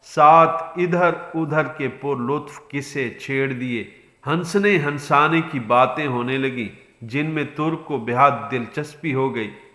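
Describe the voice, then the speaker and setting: Noticeable background noise accompanies a man whose fairly high voice shows ordinary pitch variation. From Pakistan. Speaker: voice over artist. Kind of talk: moral story narration.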